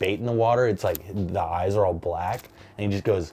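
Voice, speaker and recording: This man speaks at a moderate pace in a medium pitch. Noticeable background noise is present. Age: 20s. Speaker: stand-up comedian. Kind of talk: interview, personal storytelling. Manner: casual, hesitant with fillers.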